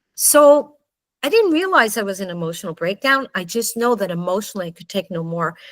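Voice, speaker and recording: With an ordinary speaking voice, a woman of medium pitch talks at a fairly quick pace with lively intonation and big swings in loudness. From Canada. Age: 60s. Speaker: book author. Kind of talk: personal testimony.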